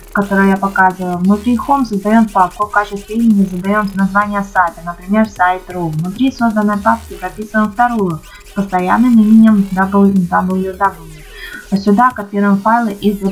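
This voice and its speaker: A woman's monotone, flat intonation at a moderate pace, with music in the background. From Ukraine. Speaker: blogger. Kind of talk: tutorial voice-over. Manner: casual, with hesitations.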